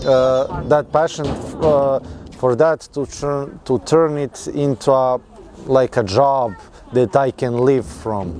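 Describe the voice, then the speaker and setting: A man speaks very slowly in a fairly high voice over noticeable background noise. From Serbia. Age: 20s. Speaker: mechanical engineer. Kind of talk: interview. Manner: halting.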